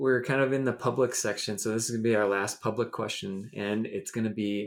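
A man speaks with an American accent in a normal speaking voice at a medium pitch. His pace is fairly quick, with ordinary pitch variation. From US Midwest. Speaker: podcast host. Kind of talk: casual interview.

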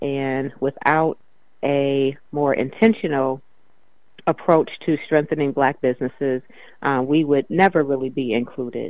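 Pitched very deep and low, a woman speaks at a fairly slow pace with fairly even intonation. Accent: American. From US Midwest, Evanston, Illinois. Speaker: city council member. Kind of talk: interview.

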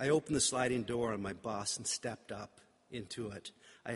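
The speaker reads in a natural reading voice with ordinary pitch variation.

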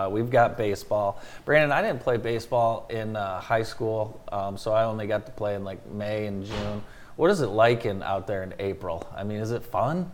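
A man's unremarkable speaking voice, medium in pitch with ordinary pitch variation, at a moderate pace. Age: 40s. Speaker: radio morning show host. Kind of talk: casual chat.

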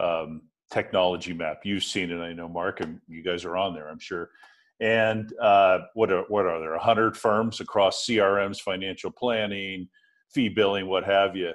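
A man with an unremarkable speaking voice, fairly low in pitch, talks at a moderate pace with fairly even intonation and big swings in loudness. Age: 50s. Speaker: podcast host. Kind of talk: interview.

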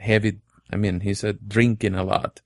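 At a moderate pace, a man speaks with a Venezuelan accent. His pitch is fairly low. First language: Spanish. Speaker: church planter. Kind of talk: interview. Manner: halting.

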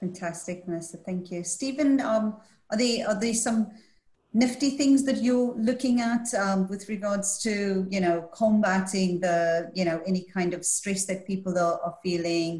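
A woman with a medium pitch speaks at a fairly slow pace. Her voice is somewhat breathy, with ordinary pitch variation. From Scotland. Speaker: panel moderator. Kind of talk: moderated panel discussion. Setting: video call.

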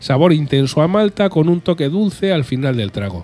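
With music in the background, a man's intonation is lively. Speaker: beer podcast host. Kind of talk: beer tasting notes. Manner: animated.

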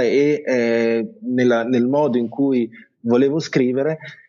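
At a very slow pace, a man speaks with fairly even intonation and a medium pitch. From Italy, Bologna. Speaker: journalist and travel blogger. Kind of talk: interview. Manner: halting.

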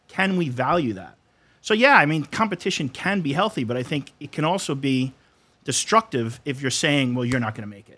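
A bright, sharp-toned man with an American accent, fairly high in pitch and fairly quick, with lively intonation and big swings in loudness, on a very clean recording with a silent background. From New York, Brooklyn / Long Island. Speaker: high school Spanish teacher. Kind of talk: casual panel discussion.

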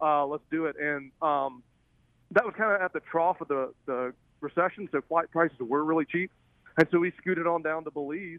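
At a moderate pace, a man with a Southern US accent speaks in a fairly high pitch with ordinary pitch variation. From Alabama. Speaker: film director and fly angler. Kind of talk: casual interview.

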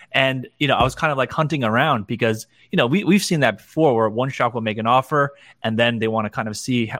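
Someone speaks very fast with ordinary pitch variation in a New Jersey accent, on a very clean recording with a silent background. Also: man. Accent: New Jersey American. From New Jersey (Clifton). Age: 40s. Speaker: entrepreneur, digital designer. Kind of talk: casual interview.

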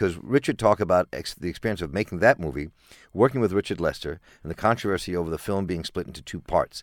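On a very clean recording with a silent background and a dry, close sound free of echo, a man with an American accent talks at a very fast pace, his very deep, low pitch roughened by vocal fry and carried by lively intonation. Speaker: radio host. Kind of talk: radio interview. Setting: studio.

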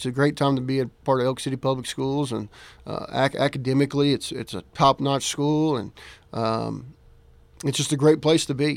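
On a very clean recording with a silent background, a man speaks at a moderate pace and medium pitch with fairly even intonation. His is an unremarkable speaking voice. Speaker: high school football coach. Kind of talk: radio interview.

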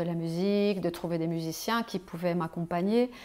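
Fairly low-pitched female delivery in a normal speaking voice, moderately paced, its intonation fairly even. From Switzerland. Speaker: flautist and bandleader. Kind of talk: casual interview. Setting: host's home, on a sofa.

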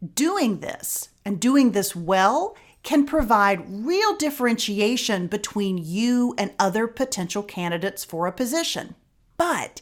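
In an ordinary speaking voice, a woman with fairly high pitch talks at a fairly slow pace with lively intonation. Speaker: podcast host. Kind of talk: interview, conversational podcast. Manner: warm, friendly.

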